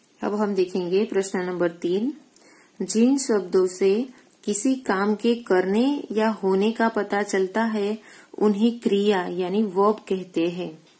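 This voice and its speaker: In a Gujarati accent, a woman speaks at a medium pitch with ordinary pitch variation and a dark, mellow tone. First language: Gujarati (speaking Hindi). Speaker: school teacher. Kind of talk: recorded lesson for pupils.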